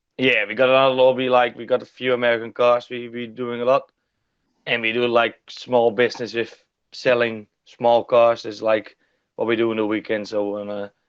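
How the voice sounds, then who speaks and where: With a Dutch accent, a man talks at a moderate pace in a medium pitch, his intonation flat and monotone while his loudness swings widely. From Netherlands. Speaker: stock car driver. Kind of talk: interview.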